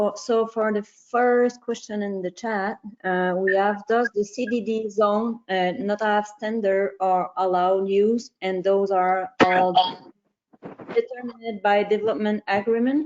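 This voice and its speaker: A woman speaks with a French accent at a fairly slow pace. Her intonation is fairly even. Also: medium pitch for a woman. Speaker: session organizer. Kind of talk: reading questions.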